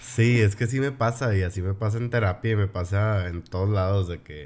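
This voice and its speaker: The man has a plain, everyday voice, fairly low in pitch, with ordinary pitch variation. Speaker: podcast host. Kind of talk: casual chat.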